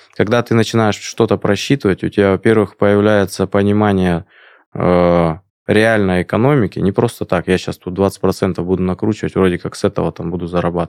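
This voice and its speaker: Speaking at a fairly quick pace, a man with a very deep, low pitch and fairly even intonation is heard in a very clean, dry, close recording with no echo and a silent background. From Siberia, Krasnoyarsk. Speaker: entrepreneur. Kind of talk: interview. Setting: studio.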